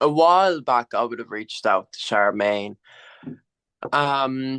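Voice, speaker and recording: Fairly slow, lively speech from a man at medium pitch, bright and sharp in tone, dry and close with no echo, over a quiet background. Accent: Irish. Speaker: abuse survivor. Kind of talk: testimony. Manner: halting.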